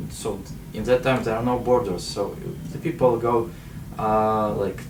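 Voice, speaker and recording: A man's medium-pitched voice, with noticeable background noise and audible room echo. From Ukraine, Kyiv. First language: Russian. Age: 20s. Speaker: activist and entrepreneur. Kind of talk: interview. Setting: in-person interview in Manchester. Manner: halting, many fillers.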